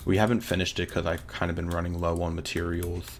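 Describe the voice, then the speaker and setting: A man's very deep, low-pitched voice. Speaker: gaming YouTuber. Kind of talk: gameplay commentary. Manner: animated.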